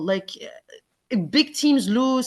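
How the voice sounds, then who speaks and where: A high-pitched woman with a non-native accent and very wide pitch swings, over a quiet background. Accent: foreign. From Quebec, Montreal. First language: Arabic. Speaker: football fan podcast guest. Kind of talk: casual chat.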